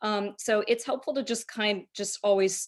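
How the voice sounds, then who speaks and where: A woman with an ordinary speaking voice, a fairly high pitch, and lively intonation. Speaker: trainer. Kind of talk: lecture.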